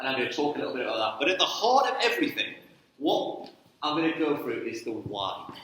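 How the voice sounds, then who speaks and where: A man with lively intonation amid noticeable background noise and audible room echo. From northern England, Newcastle. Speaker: sports ministry trainer. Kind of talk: church talk. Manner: casual, conversational.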